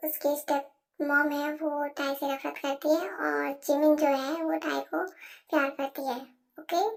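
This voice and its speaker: Her voice is high-pitched for a woman, delivered at a moderate pace in a monotone, flat intonation. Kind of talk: casual Hinglish fan-fiction narration. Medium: read story. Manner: chatty, mixes English words.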